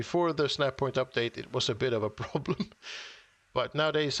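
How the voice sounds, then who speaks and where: A man talks at a moderate pace. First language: not English. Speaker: gaming streamer. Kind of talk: casual live-stream chat while building. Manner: halting, many restarts and fillers.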